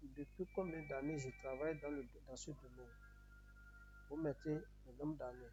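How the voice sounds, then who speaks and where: A man with a Beninese accent at a fairly slow pace, big swings in loudness, and music in the background. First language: Yoruba (speaking French). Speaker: YouTuber giving immigration advice. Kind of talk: tutorial. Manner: repetitive, halting.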